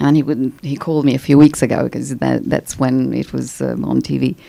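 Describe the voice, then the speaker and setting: The speaker talks at a moderate pace in a Romanian accent. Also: woman. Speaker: actress. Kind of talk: Q&A after screening. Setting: stage with audience.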